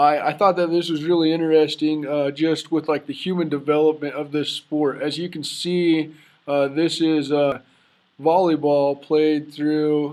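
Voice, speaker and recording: A man with an American accent speaks at a fairly slow pace in a fairly high pitch. His intonation is monotone and flat, over a quiet background. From Idaho. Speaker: student. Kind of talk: class presentation.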